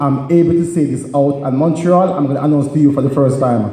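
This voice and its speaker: A man's pitch varies in an ordinary way while audible room echo and noticeable background noise fill the recording. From Jamaica. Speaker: comedian and public speaker. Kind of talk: stand-up.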